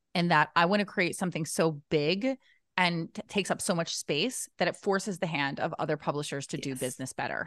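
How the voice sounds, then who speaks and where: A woman with an unremarkable speaking voice talks at a fairly low pitch and fairly quick pace, with ordinary pitch variation and a dry, close sound with no echo over a quiet background. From US, New Jersey. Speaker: book publisher and author. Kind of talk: casual interview chat.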